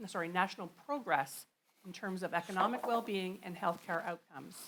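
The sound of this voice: A woman talks at a fairly quick pace with ordinary pitch variation. Her pitch is medium and her tone fairly bright.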